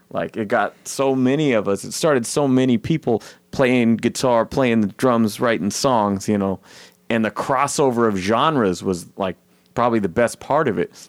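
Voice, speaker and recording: An ordinary speaking voice from a man at medium pitch, with ordinary pitch variation and a moderate pace, on a very clean recording with a silent background and a dry, close sound with no echo. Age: 30s. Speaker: podcast host. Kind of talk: casual chat.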